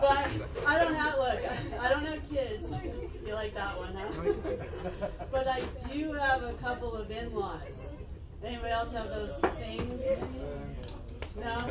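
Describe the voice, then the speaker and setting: A woman talks at a fairly slow pace with long, frequent pauses while crowd noise fills the background. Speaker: stand-up comedian. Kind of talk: stand-up comedy routine.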